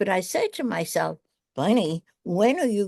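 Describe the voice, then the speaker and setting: Dry and close with no echo, a woman of medium pitch speaks in a dark, mellow tone with lively intonation over a quiet background. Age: 70s. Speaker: actress. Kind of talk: casual interview.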